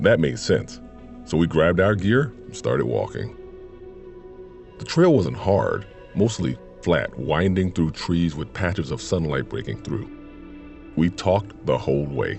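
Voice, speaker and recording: With music in the background, a man with a very deep, low pitch speaks at a fairly slow pace, using lively intonation and long, frequent pauses. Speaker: voice actor. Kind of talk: horror story narration. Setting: studio.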